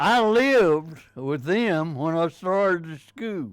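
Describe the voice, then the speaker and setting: A man with a Texan accent speaks at a very slow pace with lively intonation. The recording is very clean, with a silent background. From Richardson, Texas. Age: 80s+. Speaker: war veteran. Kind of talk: interview answer.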